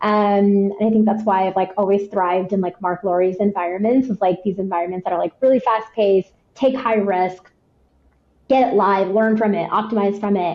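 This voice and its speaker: A woman's voice at a fairly quick pace with fairly even intonation. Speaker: head of marketing. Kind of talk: podcast interview. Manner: fast; high energy.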